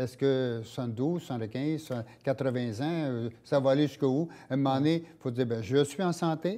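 This man's tone is dark and mellow. His pitch is medium, and his intonation stays fairly even. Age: 70s. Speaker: walking club founder; interview guest. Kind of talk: casual interview. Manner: halting. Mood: relaxed, reflective. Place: studio. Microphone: lapel.

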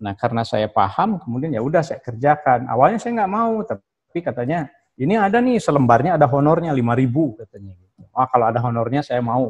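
Very fast, somewhat breathy speech with hardly any pauses, very wide pitch swings and big swings in loudness over a quiet background. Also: man. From Indonesia, West Java (Sundanese). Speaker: professor of Islamic philology. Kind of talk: guest lecture. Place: office. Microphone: video call.

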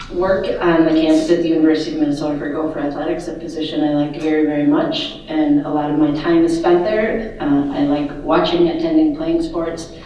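A woman's very deep, low-pitched voice at a fairly quick pace, fairly even in intonation, with strong room echo and light background noise. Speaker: candidate. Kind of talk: candidate introduction speech. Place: hall.

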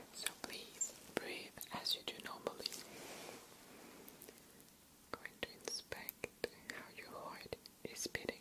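A man whispers very slowly, with pauses that are long and frequent. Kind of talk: soft-spoken role-play to viewer. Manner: soft, hushed ASMR voice. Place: home room.

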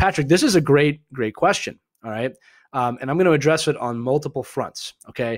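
Speaking with a Philadelphia accent at a fairly quick pace, a man with a fairly high pitch shows ordinary pitch variation in a very clean recording with a silent background. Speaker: hockey show host. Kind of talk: casual live chat. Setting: live video stream.

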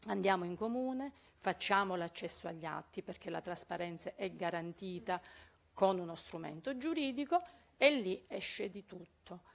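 A woman of medium pitch speaks in a plain, everyday voice at a moderate pace, her loudness swinging widely. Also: lively intonation. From Calabria. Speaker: local activist. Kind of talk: audience question.

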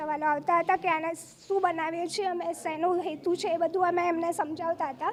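A woman's extremely high voice with monotone, flat intonation. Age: 30s. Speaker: artist. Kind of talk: interview. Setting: art exhibition.

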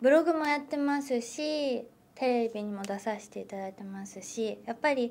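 Moderate speed and ordinary pitch variation. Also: woman. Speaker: actress. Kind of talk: interview. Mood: cheerful, thoughtful. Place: meeting room.

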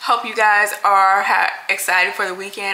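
Her speed is moderate. The voice belongs to a woman. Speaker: lifestyle vlogger. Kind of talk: casual vlog chat. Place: kitchen. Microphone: phone near.

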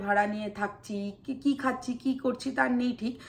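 Noticeable background noise beneath a voice of ordinary pitch variation. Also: woman. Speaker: vlogger. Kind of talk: personal vlog monologue.

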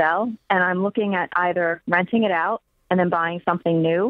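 A woman talks at a fairly quick pace in a plain, everyday voice, fairly low in pitch with ordinary pitch variation, over a quiet background with a dry sound and no echo. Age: 30s. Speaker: caller. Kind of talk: phone-in question. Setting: phone call. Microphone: phone line.

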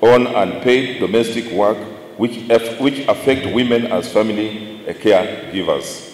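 A man is talking, and room echo can be heard around him. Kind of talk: formal speech. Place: hall. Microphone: podium.

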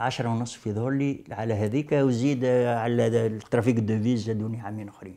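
A man speaks at a moderate pace in a flat, monotone way, with hardly any pauses. His loudness swings widely. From Tunisia, Sahel (Moknine); Tunisia. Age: 70s. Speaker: veteran leftist activist; witness. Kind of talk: testimony interview. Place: office. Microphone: lapel.

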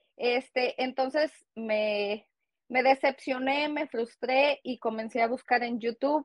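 A woman's high voice at a fairly slow pace, dry with no echo, against a quiet background. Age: 30s. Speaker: GED graduate and cosmetologist; interviewee. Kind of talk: interview. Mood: proud, encouraging. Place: home room. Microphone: earbuds.

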